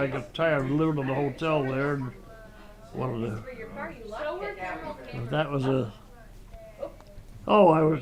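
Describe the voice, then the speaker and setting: With lively intonation, a man speaks at a moderate pace over noticeable background noise. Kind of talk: interview answer. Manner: hesitant, rambling storytelling.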